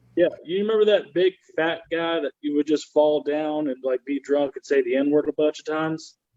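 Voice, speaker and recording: A man with a Southern US accent talks at a moderate pace in a fairly high pitch. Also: fairly even intonation, hardly any pauses. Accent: Southern American. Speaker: comedian. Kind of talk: stand-up comedy.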